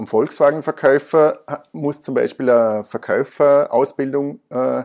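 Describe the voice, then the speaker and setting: A man's plain, everyday voice at medium pitch, at a fairly slow pace against a quiet background. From Austria, Vorarlberg. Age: 30s. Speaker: car dealership managing director. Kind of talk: interview. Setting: office.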